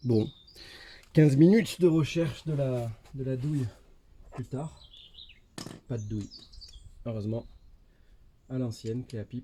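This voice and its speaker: A man talks at a medium pitch and a fairly slow pace, somewhat breathy, with long, frequent pauses. His loudness swings widely. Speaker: motorcycle DIY youtuber. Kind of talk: tutorial. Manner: monotone; casual, hesitant with fillers.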